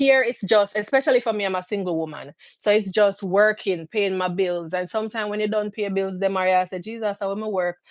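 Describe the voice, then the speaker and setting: With hardly any pauses, a woman talks at a fairly quick pace with fairly even intonation, in a dry, close sound with no echo. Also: medium pitch for a woman. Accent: Jamaican. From Jamaica, St Catherine. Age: 30s. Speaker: immigrant sharing experience. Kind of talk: live-stream interview.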